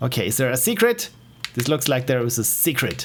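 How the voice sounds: In an Austrian accent, a man talks at a fairly quick pace with a medium pitch. His pitch swings widely.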